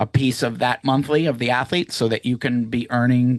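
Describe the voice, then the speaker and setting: With an American accent and a plain, everyday voice, a man speaks at a medium pitch and moderate pace with fairly even intonation, in a dry, close sound with no echo against a quiet background. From Massachusetts, near Boston (Woburn). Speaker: business founder presenting to evaluators. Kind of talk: live Q&A webinar. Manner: casual, many fillers and restarts.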